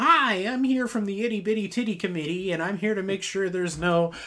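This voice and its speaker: Someone uses a put-on character voice at a middle pitch. The pace is fairly quick, with light background noise. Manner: goofy.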